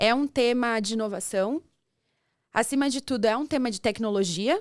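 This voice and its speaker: In a normal speaking voice, a woman talks at a moderate pace with lively intonation, in a dry, close recording with no echo and a very clean, silent background. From interior of São Paulo state, Brazil (São Roque). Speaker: banking open finance coordinator. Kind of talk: casual interview chat.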